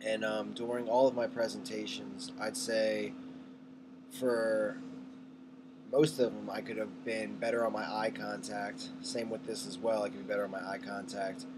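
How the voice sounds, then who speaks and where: Moderately paced speech from a man, noticeable background noise and audible room echo around it. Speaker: college student. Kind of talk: self-evaluation monologue. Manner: soft-spoken; animated.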